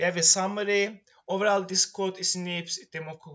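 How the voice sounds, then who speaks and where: With an Iranian accent, a man talks at a fairly quick pace and a high pitch, keeping his intonation fairly even. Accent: Iranian accent, noticeable. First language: Persian. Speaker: student presenting a course project. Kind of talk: tutorial presentation. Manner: halting, with many fillers.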